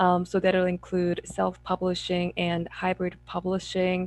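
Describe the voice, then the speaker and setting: With music in the background, a woman in a Korean accent speaks very slowly at a medium pitch, the sound dry and close with no echo. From South Korea. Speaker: memoir author. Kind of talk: panel discussion.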